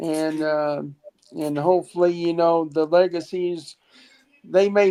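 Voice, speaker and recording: The speaker has an American accent. The pace is moderate and the intonation fairly even. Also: woman. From Ohio, US. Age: 60s. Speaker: caller. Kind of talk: casual chat. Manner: halting. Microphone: iPhone.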